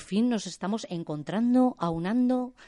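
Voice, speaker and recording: A woman speaks at a fairly slow pace with a dark, mellow tone and lively intonation against a quiet background. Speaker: art student. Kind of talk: radio interview. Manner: halting.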